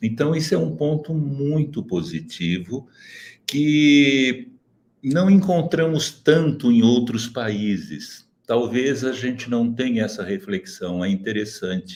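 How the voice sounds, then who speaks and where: Very slow and medium in pitch, a man's voice swings very widely up and down. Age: 70s. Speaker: socio-emotional education expert. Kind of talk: webinar panel talk. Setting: online webinar. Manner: measured, formal.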